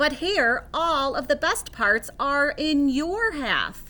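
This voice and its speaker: Very slowly, a woman performs a put-on character voice at a high pitch. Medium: read story. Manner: slow, drowsy.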